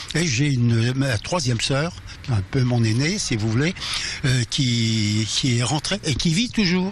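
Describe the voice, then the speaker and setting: A man speaks at a very slow pace with a medium pitch and lively intonation. His loudness stays very even, and there is noticeable background noise. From Alsace. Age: 80s+. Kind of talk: interview answer.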